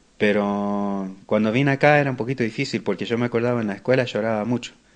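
A man talks at a very fast pace in a fairly low voice. His pitch variation is ordinary, and the background is quiet. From Buenos Aires, Argentina, raised in US. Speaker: massage therapist. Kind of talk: interview. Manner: halting.

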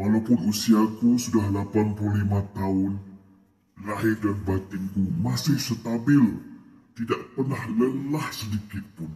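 A man with a fairly low, somewhat breathy voice speaks at a very slow pace with ordinary pitch variation. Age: 80s+. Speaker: elderly man sharing health tips. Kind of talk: personal testimony, advice.

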